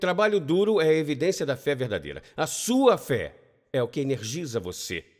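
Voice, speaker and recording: On a very clean recording with a silent background, an animated tone with vocal fry moves through very wide pitch swings. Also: man. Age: 60s. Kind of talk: lecture.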